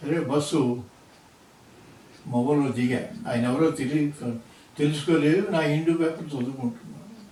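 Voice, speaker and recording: A man's fairly high voice with ordinary pitch variation over noticeable background noise. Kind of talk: personal life story told to grandson.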